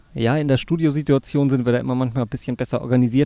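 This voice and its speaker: A man with a dark, mellow tone and medium pitch speaks at a very fast pace with fairly even intonation, on a very clean recording with a silent background. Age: 40s. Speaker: podcast host. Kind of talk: casual chat. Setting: outdoors in a park.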